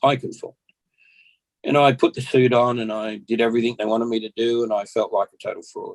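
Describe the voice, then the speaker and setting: Talking at a very fast pace, a man speaks in an Australian accent. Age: 60s. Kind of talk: podcast interview, personal testimony. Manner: halting, repeats words.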